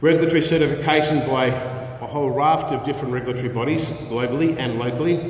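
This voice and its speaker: Talking at a very fast pace, a man with a fairly high pitch keeps his intonation fairly even, with audible room echo and noticeable background noise. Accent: Australian. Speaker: investment presenter. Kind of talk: conference presentation.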